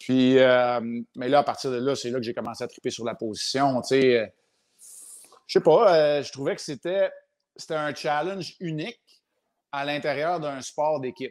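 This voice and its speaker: On a very clean recording with a silent background, a man with a Quebec accent speaks at a moderate pace and a fairly high pitch, with ordinary pitch variation, big swings in loudness and long, frequent pauses. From Quebec, Montreal. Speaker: retired hockey goaltender. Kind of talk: casual interview.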